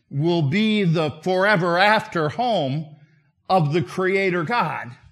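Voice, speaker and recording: In a room with audible echo, a man speaks very slowly in a high pitch with ordinary pitch variation. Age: 60s. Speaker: visiting preacher. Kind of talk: sermon. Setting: church.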